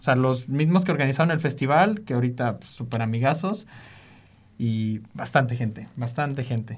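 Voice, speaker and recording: Lively intonation marks this man's fairly quick speech. His voice is somewhat breathy. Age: 20s. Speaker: music producer and DJ. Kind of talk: casual interview.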